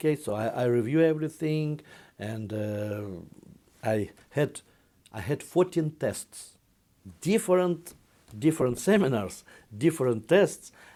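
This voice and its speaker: Speaking at a fairly slow pace with long, frequent pauses, a man with a Russian accent uses a dark, mellow tone at a fairly high pitch with very wide pitch swings. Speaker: investment fund executive. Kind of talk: interview. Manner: halting.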